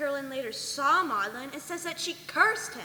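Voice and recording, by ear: A woman does a put-on character voice with a high pitch and a bright, sharp tone. She keeps a moderate pace over faint background noise. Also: lively intonation.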